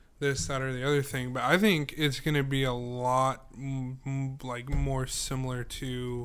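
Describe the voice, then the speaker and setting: With music in the background, the speaker talks at a fairly slow pace in a monotone, flat intonation. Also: man, medium pitch for a man. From Idaho, US. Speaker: podcast co-host. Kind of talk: casual chat.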